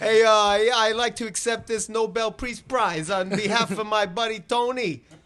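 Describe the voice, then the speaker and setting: Against a quiet background, a man with a Brooklyn accent speaks at a moderate pace with hardly any pauses, his high pitch carrying a bright, sharp tone. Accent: Brooklyn New York. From Brooklyn, New York. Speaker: podcast host. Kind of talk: casual chat. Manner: animated.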